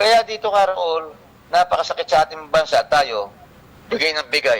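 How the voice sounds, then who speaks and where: Against noticeable background noise, a man speaks at a high pitch with very wide pitch swings. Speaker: land title advocate on radio. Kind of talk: radio talk show discussion. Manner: halting with many fillers; animated.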